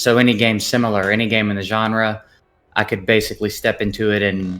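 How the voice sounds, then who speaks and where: Speaking fairly quickly with a Southern US accent, a man with fairly low pitch delivers his words in a monotone, flat intonation. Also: very even loudness. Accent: Southern accent, noticeable. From US South, Memphis. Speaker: gaming content creator. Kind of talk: casual interview chat.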